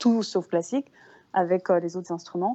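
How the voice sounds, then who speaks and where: A woman speaks at a medium pitch and a moderate pace, with ordinary variation in her pitch. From Brussels, Belgium. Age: 30s. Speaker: harpist and singer. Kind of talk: interview.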